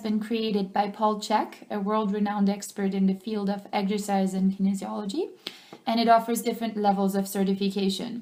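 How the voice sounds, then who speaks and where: A French accent, monotone and flat intonation, and a fairly quick pace. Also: woman. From France. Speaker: personal trainer. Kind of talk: teleclass self-introduction. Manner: hesitant, frequent ums.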